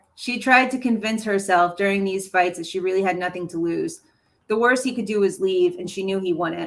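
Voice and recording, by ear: A natural voice reads the text aloud. Its pitch shows ordinary variation.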